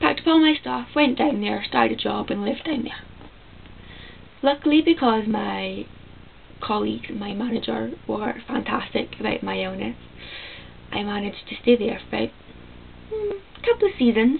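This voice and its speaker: A woman with a Scottish accent speaks at a moderate pace, leaving long, frequent pauses. Noticeable background noise sits behind her. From Scotland. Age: 20s. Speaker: vlogger with chronic illness. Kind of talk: casual vlog monologue. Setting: at home, talking to camera.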